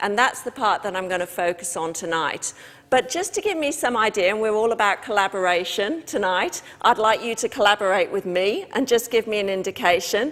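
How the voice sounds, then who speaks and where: At a fairly quick pace, a woman with a British accent speaks with lively intonation and a fairly high pitch. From Britain. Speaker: trade union official. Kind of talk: talk to a live audience. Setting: stage with audience.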